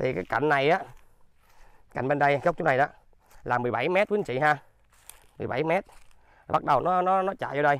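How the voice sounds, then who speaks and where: Long, frequent pauses break up a man's fairly quick speech. His pitch variation is ordinary, and the sound is dry with no echo. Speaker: real estate agent and channel owner. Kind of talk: sales pitch video tour. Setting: outdoors on the land plot. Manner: polite, formal, repetitive. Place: open country. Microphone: phone near.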